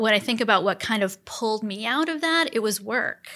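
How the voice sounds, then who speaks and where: A woman speaks at medium pitch with a bright, sharp tone. Vocal fry runs through her voice. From central Wisconsin (Portage County). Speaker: nonprofit foundation CEO. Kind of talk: interview.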